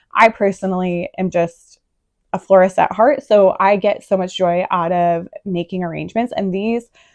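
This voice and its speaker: A woman with a medium pitch and ordinary pitch variation talks against a quiet background. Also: dry, close sound with no echo. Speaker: gardening vlogger. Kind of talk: casual tutorial. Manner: hesitant fillers.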